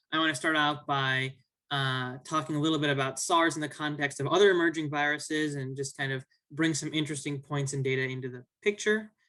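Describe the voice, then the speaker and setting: This voice has a bright, sharp tone and an American accent, moving at a fairly quick pace with fairly even intonation. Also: man. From US Midwest, Chicago. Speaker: graduate student researcher. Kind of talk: academic talk. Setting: video call. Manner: hesitant, many fillers.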